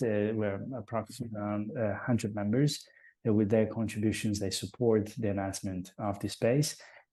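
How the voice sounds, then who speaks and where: The tone here is dark and mellow. The pace is moderate. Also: man, quiet background. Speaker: open source software strategist. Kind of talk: online webinar presentation. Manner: halting, many fillers.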